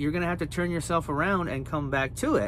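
Speaking at a very fast pace, a man comes through with a dry sound with no echo and light background noise. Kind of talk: casual vlog chat. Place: car. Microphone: phone near.

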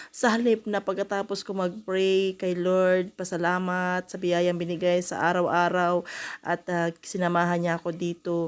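The recording is very clean, with a silent background. A woman speaks at a moderate pace and a medium pitch. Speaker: vlogger. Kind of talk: vlog voice-over. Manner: halting.

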